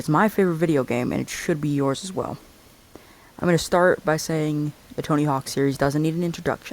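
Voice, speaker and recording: Fairly quick speech from a man with a fairly high pitch and fairly even intonation. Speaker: gaming youtuber. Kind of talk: video essay commentary. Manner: fast; hesitant, filler-heavy.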